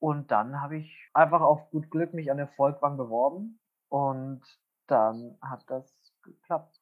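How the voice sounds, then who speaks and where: A man speaks at a very slow pace with ordinary pitch variation. His loudness swings widely. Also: fairly high pitch for a man. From Bavaria (Wunsiedel, Upper Franconia). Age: 20s. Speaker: musical theatre actor. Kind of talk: casual chat.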